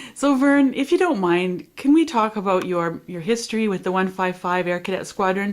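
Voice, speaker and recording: Speaking at a moderate pace with hardly any pauses, a woman has an unremarkable speaking voice, medium in pitch with lively intonation. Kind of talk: oral history interview questions.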